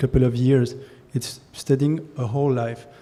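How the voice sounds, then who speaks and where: Speaking at a moderate pace, a man holds a medium pitch in a monotone, flat delivery. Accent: French. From France. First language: French. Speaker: concert pianist. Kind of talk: speech at a ceremony. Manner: halting, repeats words.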